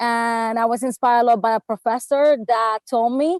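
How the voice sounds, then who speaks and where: Dry and close with no echo, a woman's high-pitched voice with a Spanish accent holds a fairly even intonation. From Puerto Rico (Bayamón). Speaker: travel writer and blogger. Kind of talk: panel discussion.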